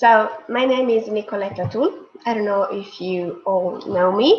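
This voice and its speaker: A woman speaks at a fairly high pitch in an Italian accent, with ordinary pitch variation. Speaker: tea sommelier and presenter. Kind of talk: online presentation. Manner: hesitant.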